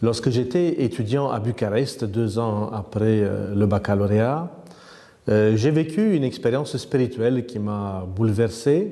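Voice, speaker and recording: A man in a Romanian accent talks at a fairly slow pace, his tone dark and mellow. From Romania, north-east near Roman. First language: Romanian (speaking French). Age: 50s. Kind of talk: interview. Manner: hesitant, many fillers.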